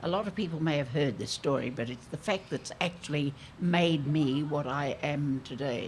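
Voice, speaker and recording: A woman's voice sits very deep and low in pitch. She moves at a moderate pace with ordinary pitch variation. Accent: Australian. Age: 80s+. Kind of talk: public conversation.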